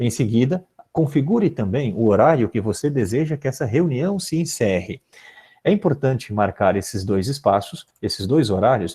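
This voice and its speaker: Somewhat breathy and dark, mellow in tone, a man speaks at medium pitch and a moderate pace with lively intonation. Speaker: philosophy teacher giving teacher training. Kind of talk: online training tutorial. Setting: live video conference.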